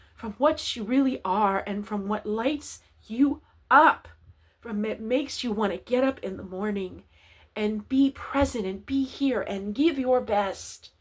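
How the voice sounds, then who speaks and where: A woman talks at a fairly slow pace in a somewhat breathy, fairly high voice with ordinary pitch variation. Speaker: spiritual guide. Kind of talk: spiritual talk to camera.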